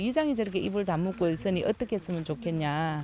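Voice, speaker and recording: Her tone is dark and mellow. The woman speaks with lively intonation. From Ulsan, South Korea (Bangudae village). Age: 60s. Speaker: village resident. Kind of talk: casual discussion.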